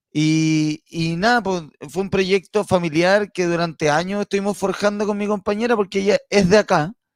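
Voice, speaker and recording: With hardly any pauses, the voice moves at a moderate pace with fairly even intonation in a dry, close sound with no echo. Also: man, high pitch for a man. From Chile, Santiago. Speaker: comedian. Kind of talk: casual chat.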